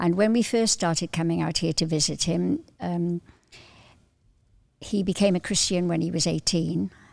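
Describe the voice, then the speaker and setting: The speaker has a Cardiff accent and keeps a moderate pace. The recording is very clean, with a silent background. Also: woman. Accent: Welsh, Cardiff. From Wales, Welsh valleys then Cardiff. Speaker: visiting churchgoer, grandmother. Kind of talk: casual chat.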